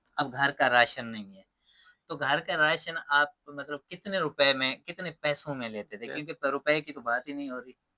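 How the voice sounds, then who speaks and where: A man's fairly high, bright and sharp voice, with ordinary pitch variation, big swings in loudness, and a dry, close sound free of echo. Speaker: interview host / YouTube channel presenter. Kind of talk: casual interview questions to camera.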